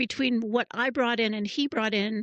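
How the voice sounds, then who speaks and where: Against a quiet background, a woman speaks at a fairly high pitch in a dry, close sound with no echo. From California. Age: 60s. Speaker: educator and founder. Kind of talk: interview.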